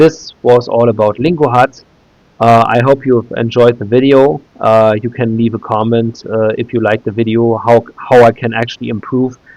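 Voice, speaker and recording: Speaking with a German accent, a man keeps his intonation fairly even. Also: medium pitch for a man, moderate pace. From Germany, Berlin. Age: 30s. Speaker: YouTuber. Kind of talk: tutorial. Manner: halting, many filler sounds.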